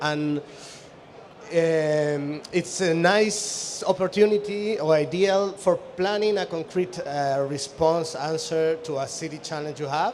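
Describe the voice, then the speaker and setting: Amid noticeable background noise, a man with a non-native accent speaks at a very slow pace in a fairly high pitch with ordinary pitch variation. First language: Spanish. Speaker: architect and urban researcher. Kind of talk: conference presentation. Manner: halting.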